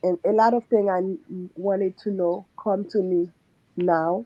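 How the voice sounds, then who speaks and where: A woman with a non-native accent speaks at a very slow pace. Her pitch is medium and her intonation fairly even. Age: 40s. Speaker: surgical nurse / coaching client. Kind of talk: testimony.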